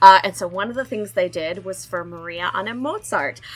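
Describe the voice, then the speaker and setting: A woman of medium pitch speaks at a moderate pace with lively intonation. Her tone is bright and sharp, with some vocal fry. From Arkansas. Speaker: opera podcast co-host. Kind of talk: casual panel chat. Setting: remote call from family home.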